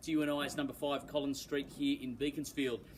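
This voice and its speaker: A man's very fast speech in an Australian accent. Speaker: real estate auctioneer. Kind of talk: auction introduction and property pitch, polished and formal. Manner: articulate, confident, measured.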